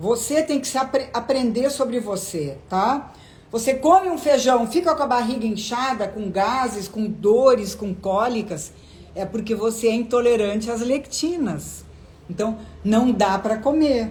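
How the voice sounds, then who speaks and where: Speaking fairly slowly in an unremarkable speaking voice, a woman has a fairly high pitch and lively intonation. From southern Brazil (Rio Grande do Sul). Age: 60s. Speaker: gynecologist. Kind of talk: live stream Q&A. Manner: conversational.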